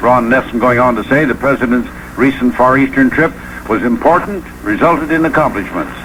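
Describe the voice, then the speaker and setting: At a fairly quick pace, a man talks with very even loudness and ordinary pitch variation against noticeable background noise. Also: medium pitch for a man. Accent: American. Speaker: radio news broadcaster. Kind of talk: radio newscast.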